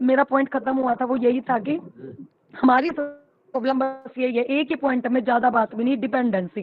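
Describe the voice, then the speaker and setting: The woman's voice is high in pitch. She talks at a moderate pace. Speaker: panel participant in women's group discussion. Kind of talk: online group discussion. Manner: animated.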